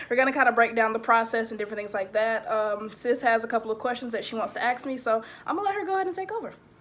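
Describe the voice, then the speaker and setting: A woman speaks very fast with hardly any pauses, her fairly high voice carrying lively intonation over noticeable background noise. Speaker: vlogger, recent college graduate. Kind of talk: podcast interview.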